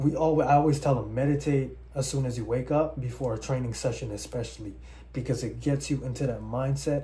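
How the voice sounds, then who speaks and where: A man talks at a fairly quick pace. There is audible room echo. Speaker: personal trainer. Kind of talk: tutorial. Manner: fast; casual.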